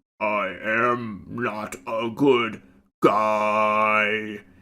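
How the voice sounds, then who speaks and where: Using a put-on character voice, a man speaks with a fairly low pitch and monotone, flat intonation. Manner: menacing.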